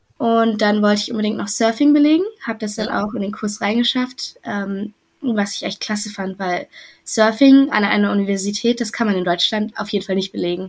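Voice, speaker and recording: On a very clean recording with a silent background, a woman with a fairly high, somewhat breathy voice talks at a fairly quick pace with ordinary pitch variation. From western Germany, near Düsseldorf. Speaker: former exchange student. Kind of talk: interview.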